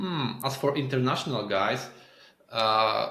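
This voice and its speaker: With a Polish accent, a man talks at a very slow pace with ordinary pitch variation, and the room echo is audible. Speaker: SEO agency owner. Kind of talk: podcast interview. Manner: halting. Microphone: internet issues.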